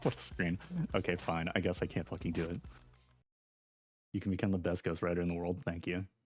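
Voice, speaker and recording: A man talks very fast in a very deep, low voice, keeping his loudness very even. He leaves long, frequent pauses. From Wales (rural). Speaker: video game streamer. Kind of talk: casual gameplay commentary. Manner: animated.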